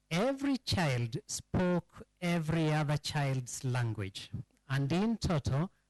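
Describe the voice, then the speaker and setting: A man with a Kenyan accent talks at a very slow pace, his intonation lively. The sound is dry and close, with no echo. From Kenya, Rift Valley (Subukia). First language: Kikamba. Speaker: historian speaking at a public forum. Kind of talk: public lecture.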